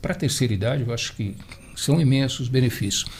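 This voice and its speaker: Ordinary rises and falls mark the pitch. There is a somewhat breathy quality to the voice. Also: man. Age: 70s. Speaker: marathon runner. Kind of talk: radio round-table discussion. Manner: halting.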